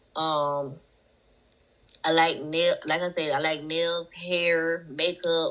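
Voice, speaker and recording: A woman with a strong Southern US accent speaks at a very slow pace with long, frequent pauses and monotone, flat intonation. Her voice is fairly low in pitch, with a bright, sharp tone. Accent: thick Southern US. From South Carolina. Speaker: rapper. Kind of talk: interview.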